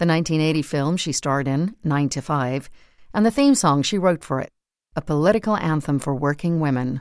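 In a normal speaking voice, a woman talks at a moderate pace, fairly low in pitch with lively intonation. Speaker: narrator reading articles. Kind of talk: scripted narration.

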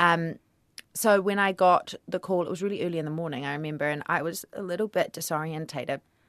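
A woman with a New Zealand accent, fairly low in pitch, at a very fast pace, in a dry, close sound with no echo. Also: fairly even intonation. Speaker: actor. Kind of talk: radio interview.

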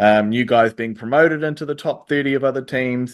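With a New Zealand accent, a man talks at a moderate pace in a medium pitch, his intonation fairly even. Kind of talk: interview.

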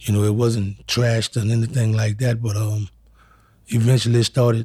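Speaking at a moderate pace, a man with a medium-pitched, somewhat breathy, dark, mellow voice is heard on a very clean recording with a silent background. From New Orleans, Louisiana. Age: 40s. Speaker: wrongfully accused interviewee. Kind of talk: testimony.

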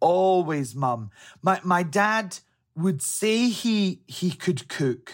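On a very clean recording with a silent background, a man with a Scottish accent speaks at a high pitch with lively intonation. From Scotland, Helensburgh. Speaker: interview guest. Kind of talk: interview. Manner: halting, some repetitions.

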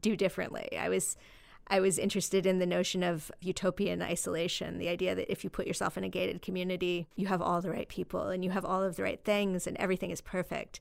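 A woman with an American accent talks at a very fast pace with vocal fry, on a very clean recording with a silent background. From US West, southern Idaho. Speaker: novelist. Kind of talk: interview.

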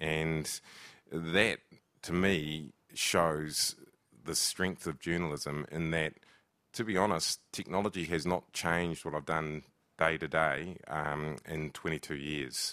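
With a New Zealand accent, a man speaks very slowly in a very deep, low voice that has a bright, sharp tone and fairly even intonation. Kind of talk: panel discussion. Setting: stage with live audience.

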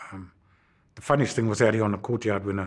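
The recording is very clean with a silent background, carrying a man's somewhat breathy voice at a fairly low pitch with fairly even intonation. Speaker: former politician and activist. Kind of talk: interview.

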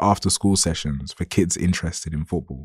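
A man with a dark, mellow tone talks at a fairly quick pace in a very clean recording with a silent background and a dry, close sound with no echo. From south London, Lewisham. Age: 30s. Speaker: journalist. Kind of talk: reading aloud. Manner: formal.

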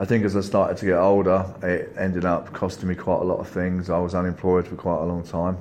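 A man with a very deep, low pitch races along at a very fast pace with hardly any pauses and monotone, flat intonation. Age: 40s. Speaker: recovering gaming addict. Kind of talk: testimony.

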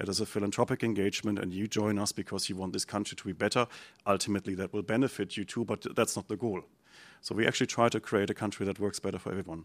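Speaking very fast in a German accent, a man holds a fairly low, monotone, flat delivery in a very clean recording with a silent background and a dry, close sound with no echo. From Germany. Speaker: think tank director. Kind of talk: panel discussion.

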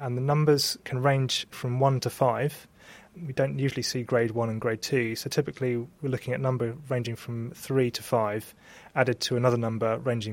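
In a very clean recording with a silent background, a man with a medium pitch speaks at a moderate pace in a normal speaking voice with fairly even intonation. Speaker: histopathologist. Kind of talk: interview explaining medical work.

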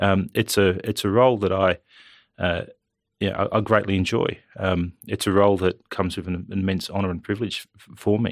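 Fairly quick and low-pitched, a man speaks in a monotone, flat way with big swings in loudness, in a very clean recording with a silent background and a dry, close sound with no echo. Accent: Australian. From Australia, New South Wales Central Coast. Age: 30s. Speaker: politician. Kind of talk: interview. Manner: halting, many fillers and repeats.

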